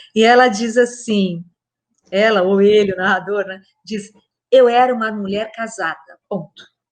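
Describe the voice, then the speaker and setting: Speaking fairly slowly, a woman keeps to a medium pitch that varies in an ordinary way. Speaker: literature professor. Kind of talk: talk on literature.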